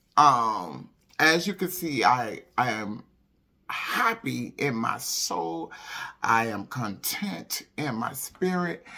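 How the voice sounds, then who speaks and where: A woman's bright, sharp voice shows vocal fry and very wide swings in pitch. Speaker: holistic wellness vlogger and pastor. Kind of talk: casual chat.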